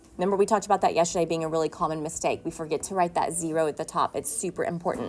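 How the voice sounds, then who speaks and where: A woman's fairly low voice at a very fast clip, intonation fairly even, with noticeable background noise. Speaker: schoolteacher. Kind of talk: lesson. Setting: recorded whiteboard lesson.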